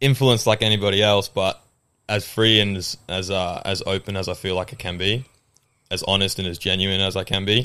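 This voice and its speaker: A man's fairly low voice with an Australian accent, at a fairly quick pace. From England, raised in Australia. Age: 20s. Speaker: gym trainer. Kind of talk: casual podcast interview chat. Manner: animated, enthusiastic.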